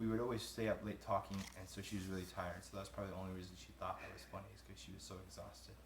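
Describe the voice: Over faint background noise, a man talks in a fairly bright tone with fairly even intonation.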